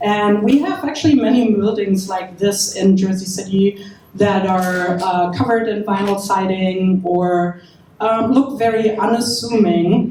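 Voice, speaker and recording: With noticeable background noise behind her, a woman speaks fairly slowly in a German accent with ordinary pitch variation. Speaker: event host for a preservation group. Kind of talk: opening remarks at a panel event.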